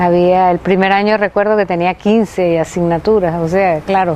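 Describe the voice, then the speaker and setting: Over noticeable background noise, a woman speaks at a moderate pace and medium pitch in a monotone, flat intonation. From Venezuela, Maracay. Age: 60s. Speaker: anthropologist, retired professor. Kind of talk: interview testimony. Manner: halting.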